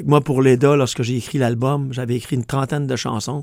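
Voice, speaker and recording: A man's intonation stays monotone and flat on a very clean recording with a silent background. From Quebec. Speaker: country singer. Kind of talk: radio interview. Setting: radio studio.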